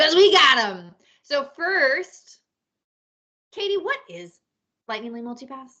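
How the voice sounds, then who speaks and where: Raised and projected, a woman's voice has a bright, sharp tone and a high pitch with very wide swings. She speaks very slowly, with big swings in loudness and long, frequent pauses. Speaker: podcast host and travel agent. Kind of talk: casual chat.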